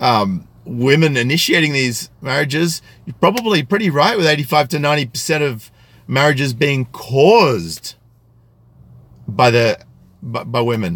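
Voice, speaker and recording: His pitch is fairly high and swings very widely. The man talks at a moderate pace. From Australia, country New South Wales. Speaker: YouTube commentator. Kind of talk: live stream commentary with chat. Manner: articulate, careful pronunciation; hesitant with fillers.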